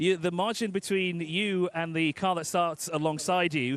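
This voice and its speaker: A man speaks in a high voice at a moderate pace, with ordinary pitch variation. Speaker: pit lane reporter. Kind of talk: live interview. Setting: pit lane, live broadcast.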